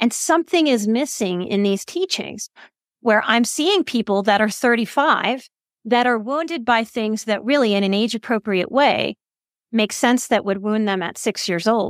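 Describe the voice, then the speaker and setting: A woman with an unremarkable speaking voice talks at a moderate pace, her fairly high pitch carrying lively intonation. The recording is very clean with a silent background and a dry, close sound with no echo. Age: 40s. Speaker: psychotherapist and counselor. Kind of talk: interview.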